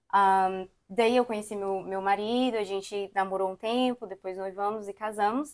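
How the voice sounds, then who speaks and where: Here a woman talks at a medium pitch and a moderate pace in a normal speaking voice. Her intonation stays fairly even. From Brazil, Brasília. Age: 20s. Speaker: immigrant, daycare worker. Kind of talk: interview conversation.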